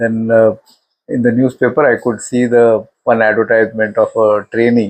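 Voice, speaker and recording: With an Indian accent, a man speaks at a moderate pace. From India, Mumbai. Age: 70s. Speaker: retired elevator company executive. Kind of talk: life story interview. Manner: halting, many fillers.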